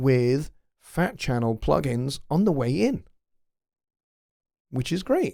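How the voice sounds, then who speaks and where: With a Scottish accent and lively intonation, a man speaks at a very slow pace in a very clean recording with a silent background. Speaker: music production tutor and livestream host. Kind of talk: live stream Q&A. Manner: halting, many fillers. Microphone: close to the mic, gain turned up.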